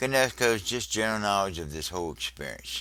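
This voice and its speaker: Using lively intonation and vocal fry, a man speaks at a moderate pace with a bright, sharp tone. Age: 70s. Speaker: religious video teacher. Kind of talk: religious teaching monologue.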